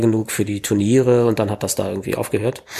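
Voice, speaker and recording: His voice has a dark, mellow tone at a medium pitch for a man. The intonation stays fairly even. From Berlin, Germany. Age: 40s. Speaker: kendo trainer. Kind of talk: casual interview.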